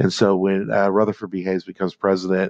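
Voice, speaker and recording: A man talks at a fairly quick pace in a very deep, low voice. The sound is dry and close with no echo, and the background is quiet. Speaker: history teacher. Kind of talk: lecture. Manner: fast; halting, many fillers.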